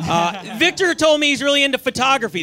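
With noticeable background noise behind him, a man speaks in a raised, projected voice at a fairly quick pace with lively intonation. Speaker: comedian in roast battle. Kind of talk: stand-up roast set. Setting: stage with audience.

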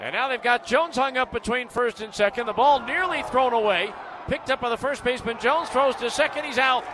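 Noticeable background noise sits under a man speaking at a very fast pace. His raised, projected voice is extremely high-pitched and shows ordinary pitch variation. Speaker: baseball play-by-play announcer. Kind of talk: radio baseball play-by-play with recap narration. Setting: radio broadcast booth. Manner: building excitement on home run calls.

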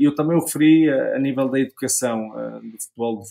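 Moderate pacing from a man, captured on a very clean recording against a silent background. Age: 40s. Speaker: former footballer and sports pundit. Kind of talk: casual interview. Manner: halting, frequent repetitions.

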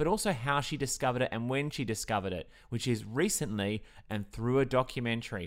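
In a very clean recording with a silent background, a man with an Australian accent speaks very fast at a medium pitch with ordinary pitch variation. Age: 30s. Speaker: podcast host. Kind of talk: scripted narration.

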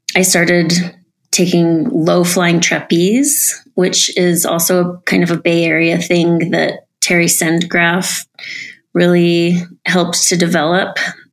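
The voice moves at a very slow pace, with fairly even intonation and very even loudness. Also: woman, fairly low pitch for a woman. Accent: American. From US, Utah (Salt Lake City). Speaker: dancer and aerialist. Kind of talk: casual interview.

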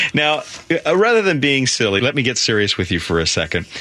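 A man's bright, sharp voice with vocal fry, very wide pitch swings and a fairly quick pace. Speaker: radio host. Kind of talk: radio interview, friendly and conversational. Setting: phone call.

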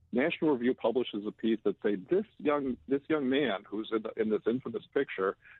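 Here a man has an ordinary speaking voice at medium pitch. He speaks at a moderate pace. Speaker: publisher, political commentator. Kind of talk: radio interview, political commentary.

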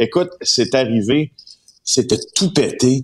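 A man's medium-pitched voice at a very slow pace. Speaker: investigative journalist. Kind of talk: radio column chat.

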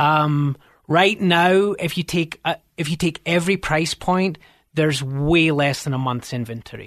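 Against a quiet background, a man talks at a fairly slow pace with a fairly high pitch and ordinary pitch variation. The sound is dry and close, with no echo. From Scotland. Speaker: realtor. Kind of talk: radio interview. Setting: radio studio.

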